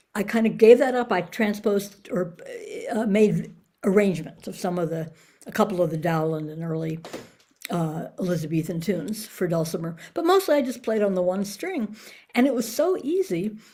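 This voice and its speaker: Somewhat breathy and at medium pitch, a woman with an American accent talks at a moderate pace with lively intonation. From New York. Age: 70s. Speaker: folk musician. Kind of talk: interview.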